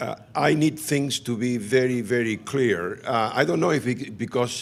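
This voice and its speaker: Over a silent background in a very clean recording, a man with a non-native accent speaks fairly slowly at medium pitch with ordinary pitch variation. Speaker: physician and HIV researcher, professor. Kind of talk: conference talk.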